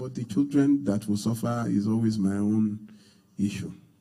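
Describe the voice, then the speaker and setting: A man with a dark, mellow tone speaks at a moderate pace amid audible room echo. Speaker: pastor. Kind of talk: sermon.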